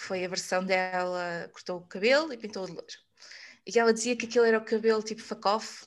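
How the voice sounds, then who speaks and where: On a very clean recording with a silent background, a woman speaks at a fairly quick pace with a fairly high pitch. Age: 20s. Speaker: podcast host on personal development. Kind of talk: casual chat.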